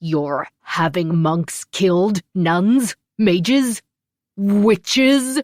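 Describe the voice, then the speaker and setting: A put-on character voice sounds female, with a middle pitch. It is bellowing and loud, at a very slow pace. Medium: read story. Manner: loud, bellowing.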